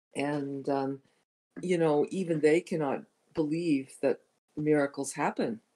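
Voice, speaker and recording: The speaking pace is fairly slow. Long, frequent pauses break it up. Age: 60s. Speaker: caller, former Jehovah's Witness. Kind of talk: casual group discussion. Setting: online call.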